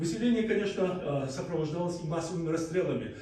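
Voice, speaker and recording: Noticeable background noise fills the clip. Audible room echo also surrounds the voice. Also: man. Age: 60s. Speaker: historian. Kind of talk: speech. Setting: parliament hall with audience. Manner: halting, many filler sounds.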